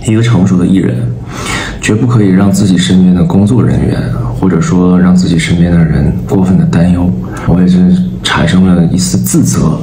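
With audible room echo and light background noise, a man with a very deep, low pitch talks at a fairly quick pace. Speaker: vlogger. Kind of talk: casual vlog chat. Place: home room. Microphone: phone near.

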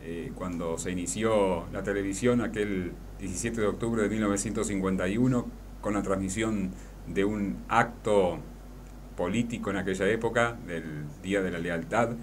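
The speaker has an Argentine accent and fairly even intonation, moving at a moderate pace over light background noise. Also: man, fairly low pitch for a man. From La Paz, Entre Ríos, Argentina. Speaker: radio announcer and journalist. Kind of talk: radio interview answer. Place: studio. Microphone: studio mic.

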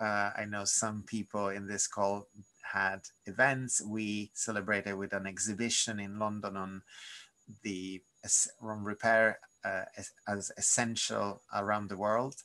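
Over a quiet background, a man with a fairly low pitch and a bright, sharp tone speaks at a fairly slow pace in a monotone, flat intonation. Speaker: repair campaigner. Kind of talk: webinar presentation. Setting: video call. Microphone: webcam.

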